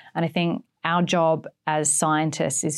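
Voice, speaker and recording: A woman speaks with fairly low pitch and ordinary pitch variation. The recording is very clean, with a silent background. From Australia. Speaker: marine biologist. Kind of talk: interview. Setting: studio.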